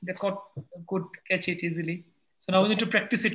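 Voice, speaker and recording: In a raised, projected voice, a man speaks at a high pitch with fairly even intonation. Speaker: English teacher. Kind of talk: casual chat.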